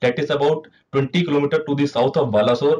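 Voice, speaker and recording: With an Indian accent, a man with a fairly high pitch sounds somewhat breathy at a moderate pace. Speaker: meteorologist presenter. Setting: video presentation with slides. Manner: formal, measured, explanatory pace with frequent 'uh' fillers. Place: office.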